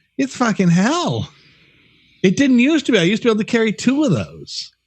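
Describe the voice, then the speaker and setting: A man speaks in an animated tone at a fairly quick pace. His pitch swings very widely. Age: 60s. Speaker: podcast co-host. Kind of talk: casual chat.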